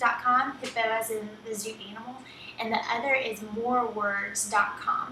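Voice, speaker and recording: A woman with a strong Southern US accent and fairly high pitch at a moderate pace, with audible room echo and noticeable background noise. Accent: thick Southern US. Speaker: writing teacher, copywriter. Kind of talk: online course lesson, tutorial. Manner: casual, many filler ums.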